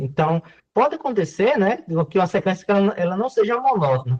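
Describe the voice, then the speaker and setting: A high-pitched man with lively intonation, dry and close with no echo. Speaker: university math lecturer. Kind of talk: online lecture. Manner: fast.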